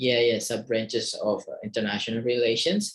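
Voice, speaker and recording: A man with an Indonesian accent speaks at a moderate pace. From Indonesia, East Kalimantan. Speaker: university lecturer. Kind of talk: lecture. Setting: screen-share video recording. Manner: halting, many fillers.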